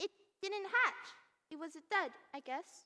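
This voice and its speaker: Here is a female-sounding voice doing a put-on character. It is extremely high in pitch and fairly slow. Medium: stage play. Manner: repeats words in threes.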